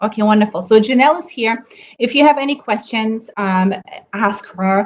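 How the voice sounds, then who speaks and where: A woman is speaking. She has a German accent. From Germany. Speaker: nutrition coach. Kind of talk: live webinar talk. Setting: Facebook live stream. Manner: hesitant, many fillers.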